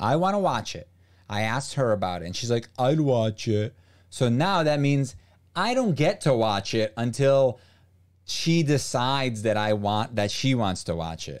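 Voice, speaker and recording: With a plain, everyday voice, the speaker uses lively intonation at a moderate pace against a quiet background. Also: man. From US, raised by Brazilian parents. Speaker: streamer. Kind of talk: casual chat. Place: home room. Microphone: studio mic.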